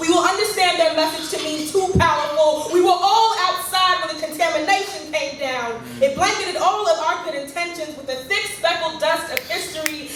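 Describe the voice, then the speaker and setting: A woman speaks at a fairly quick pace with an extremely high pitch. Noticeable background noise runs under her voice. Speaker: slam poet. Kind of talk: spoken word poetry performance. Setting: live venue.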